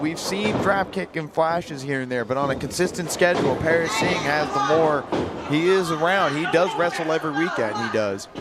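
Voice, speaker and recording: Speech in an American accent moves at a fairly quick pace with ordinary pitch variation. Noticeable background noise and audible room echo fill the recording. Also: man. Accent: southern US accent, comes out at times. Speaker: wrestling color commentator, wrestler. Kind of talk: live commentary. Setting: live wrestling event at training academy.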